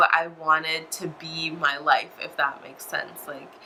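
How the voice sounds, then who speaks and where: There is noticeable background noise behind this woman. She speaks at a fairly slow pace. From United States. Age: 20s. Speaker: religious convert vlogger. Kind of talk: personal testimony. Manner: hesitant, many fillers.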